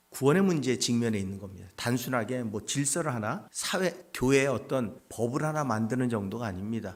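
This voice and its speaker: A medium-pitched man speaks at a fairly quick pace. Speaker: pastor. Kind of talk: sermon.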